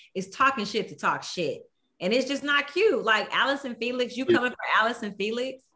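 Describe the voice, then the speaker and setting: A woman speaks with an American accent. Her tone is bright and sharp, and her pitch is high. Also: lively intonation, fairly quick pace. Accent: Texas country twang, noted by co-hosts. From Houston, Texas. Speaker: podcast co-host. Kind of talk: casual chat.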